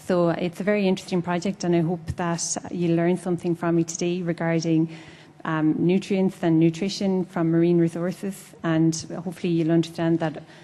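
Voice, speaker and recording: A woman with an Irish accent speaks at a fairly quick pace in a fairly low pitch. Her intonation is monotone and flat, and her loudness stays very even. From Ireland. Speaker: food science researcher. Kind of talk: panel introduction.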